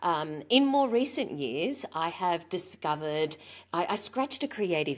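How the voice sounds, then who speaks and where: In an Australian accent, a woman speaks with lively intonation on a very clean recording with a silent background. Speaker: author, speaker and business owner. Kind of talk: interview.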